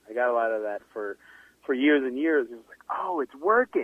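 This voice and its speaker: This man has an ordinary speaking voice. He talks at a moderate pace, and his pitch varies in an ordinary way. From Sudan, moved to Canada at 12. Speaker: writer and broadcaster. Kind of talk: interview. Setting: remote line.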